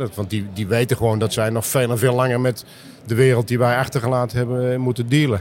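A man at medium pitch and a very fast pace, with fairly even intonation over noticeable background noise. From Netherlands, Meppel (Drenthe). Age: 60s. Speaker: business developer in construction. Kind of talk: interview.

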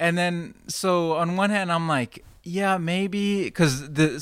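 Someone with an American accent speaks at a fairly slow pace in a very clean recording with a silent background. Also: man. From Texas, Fort Worth. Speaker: video director. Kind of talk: casual chat. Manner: mellow.

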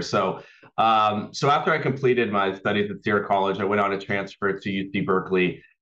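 With an American accent, a man speaks at a moderate pace in a fairly low pitch. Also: quiet background. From Northern California (Auburn). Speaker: nonprofit executive director. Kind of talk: interview.

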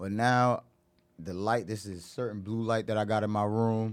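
Monotone, flat intonation runs through a man's fairly low voice. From Irvington, New Jersey. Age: 30s. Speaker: actor and model. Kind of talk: casual chat.

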